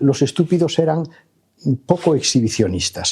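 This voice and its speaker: A man with a fairly high pitch and a dark, mellow tone talks at a moderate pace with vocal fry. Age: 70s. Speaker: professor. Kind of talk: lecture. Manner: hesitant, many filler sounds.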